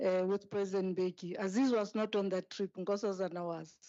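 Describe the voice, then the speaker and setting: With a non-native accent, a woman talks at medium pitch. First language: not English. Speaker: speaker at a memorial service, former aide to a president. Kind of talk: memorial tribute speech. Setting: memorial service hall.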